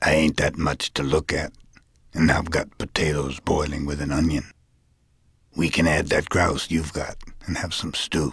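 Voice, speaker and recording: Putting on a character voice, a man speaks in a very deep, gravelly, raspy register with a calm tone, flat monotone delivery, moderate pace, and long, frequent pauses. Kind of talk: audiobook character voice. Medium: read story. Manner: calm, terse, sparing with words, almost musical.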